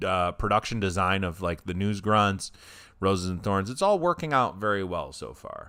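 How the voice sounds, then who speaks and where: A man with a plain, everyday voice, fairly low in pitch, at a moderate pace. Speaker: podcast co-host.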